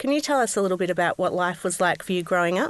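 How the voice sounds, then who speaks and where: A woman speaks in an Australian accent at a medium pitch. The background is quiet. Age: 30s. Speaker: podcast host. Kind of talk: podcast interview.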